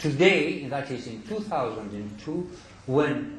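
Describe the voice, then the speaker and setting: With a Greek accent, a man at medium pitch makes very wide pitch swings, and audible room echo surrounds his voice. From Greece. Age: 70s. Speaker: scholar lecturer. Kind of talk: lecture.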